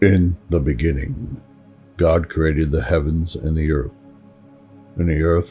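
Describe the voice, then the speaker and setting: Music plays behind a man with an American accent. His very deep, low voice moves at a fairly slow pace. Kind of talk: scripture reading.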